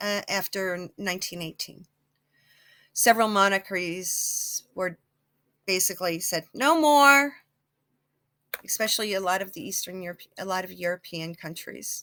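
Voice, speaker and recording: An American accent with lively intonation, big swings in loudness, long and frequent pauses and a moderate pace, in a very clean recording over a silent background. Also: woman, medium pitch for a woman. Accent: some New Jersey accent at times. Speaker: psychic YouTuber. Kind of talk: casual vlog monologue. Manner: halting, with many fillers and restarts.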